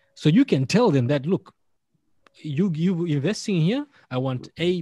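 A man speaks at a moderate pace with a dark, mellow tone and a somewhat breathy quality, on a very clean recording with a silent background. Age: 40s. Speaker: podcaster. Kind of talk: casual chat. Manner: animated.

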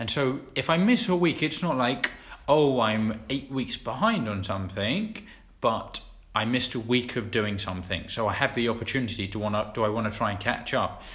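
A man talks in a plain, everyday voice at a medium pitch. His pace is moderate, and his pitch variation ordinary. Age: 20s. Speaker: podcast co-host. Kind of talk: casual chat.

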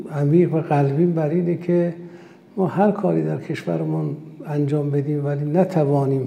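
A fairly high-pitched man with an Azerbaijani accent at a moderate pace, with audible room echo and noticeable background noise. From Iran, Urmia (West Azerbaijan). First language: Azerbaijani (speaking Persian). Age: 60s. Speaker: company executive, food manufacturer. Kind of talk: interview. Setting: science park. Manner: formal.

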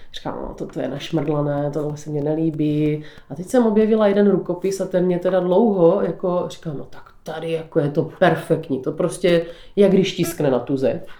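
Loudness swings widely as a woman speaks in a dark, mellow tone with fairly low pitch. Her pace is moderate, her pitch variation ordinary, and the room echo audible. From South Moravia, Podluží (Břeclav area). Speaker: folk ornament painter. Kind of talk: interview.

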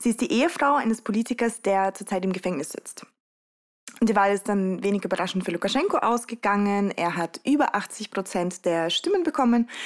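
Lively in intonation, a woman speaks with a Russian accent at a fairly quick pace. Her pitch sits in the medium range. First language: Russian (speaking German). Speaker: youth activist. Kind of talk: interview. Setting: home studio on a sofa.

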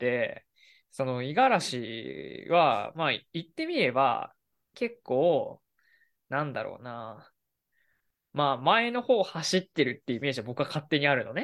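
A man talks at a moderate pace, his loudness swinging widely. The recording is very clean, with a silent background. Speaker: podcast co-host, office worker. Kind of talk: casual chat.

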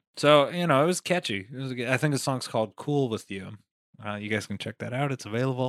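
In a plain, everyday voice of medium pitch, a man with an American accent speaks with ordinary pitch variation in a dry, close sound with no echo. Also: fairly quick pace. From Las Vegas, Nevada. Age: 20s. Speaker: comedian and rapper. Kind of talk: casual chat.

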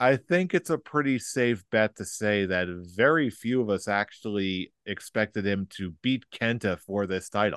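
An ordinary speaking voice from a man, fairly low in pitch, with lively intonation, a moderate pace and hardly any pauses, in a dry, close sound with no echo and a quiet background. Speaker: wrestling podcast host. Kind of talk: casual chat.

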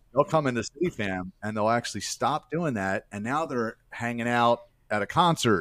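On a very clean recording with a silent background, a man speaks in an ordinary speaking voice. His medium pitch carries lively intonation at a moderate pace. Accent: American. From Baltimore, Maryland. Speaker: nonprofit ministry founder, former stripper. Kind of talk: interview testimony.

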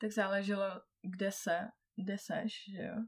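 This woman's voice is somewhat breathy. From Czechia, Karlovy Vary. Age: 20s. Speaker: traveller. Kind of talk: casual chat. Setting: in person, sitting beside the host.

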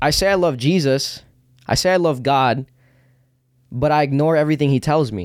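This man's pitch is fairly high, with ordinary pitch variation and long, frequent pauses. The recording is very clean, and the background is silent. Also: moderate pace. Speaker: podcast host. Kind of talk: casual chat.

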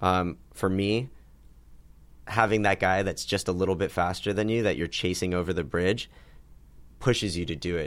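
With long, frequent pauses, a man speaks in a very deep, low voice with ordinary pitch variation. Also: moderate pace. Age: 20s. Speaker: cafe and bar owner. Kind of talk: casual chat.

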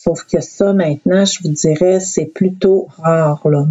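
Her intonation stays fairly even. This woman's pitch sits fairly low. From Quebec North Shore, Innu community. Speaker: youth protection manager. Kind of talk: interview.

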